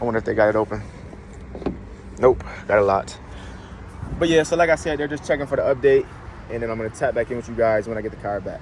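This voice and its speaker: A man at a very fast pace yet with long, frequent pauses, medium pitch, ordinary pitch variation, and noticeable background noise. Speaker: car vlogger. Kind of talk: casual vlog. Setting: in a car; car dealership. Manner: casual, filler-heavy; whispering.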